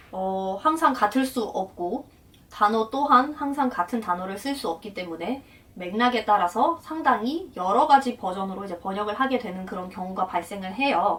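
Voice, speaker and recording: A woman with a Russian accent speaks at a moderate pace, her intonation lively. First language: Russian (speaking Korean). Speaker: translator and interpreter, vlogger. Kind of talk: casual explanatory vlog talk.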